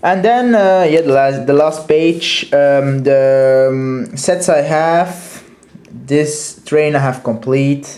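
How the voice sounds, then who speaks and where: Through noticeable background noise, a man with a Dutch accent speaks at a very slow pace, his fairly high pitch held at a very even loudness. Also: ordinary pitch variation. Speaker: toy collector reviewer. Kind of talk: product review. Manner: halting, many fillers.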